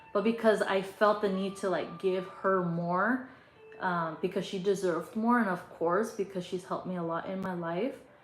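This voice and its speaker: At a moderate pace, a woman speaks in a medium pitch with fairly even intonation. Noticeable background noise and audible room echo are present. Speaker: tarot reader. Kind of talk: casual chat. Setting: livestream. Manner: loud.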